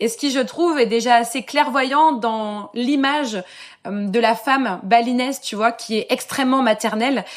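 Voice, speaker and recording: Her voice sits at a fairly high pitch with ordinary pitch variation as the woman talks at a moderate pace in a very clean recording with a silent background. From France, Lorraine (Metz). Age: 30s. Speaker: expat mother. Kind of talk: podcast interview. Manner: casual, hesitant fillers.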